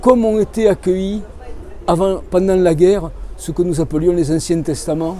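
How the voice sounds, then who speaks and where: Amid noticeable background noise and audible room echo, a man speaks at a high pitch and moderate pace with fairly even intonation. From southern France, Cévennes foothills (Hérault/Gard). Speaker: author. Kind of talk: interview.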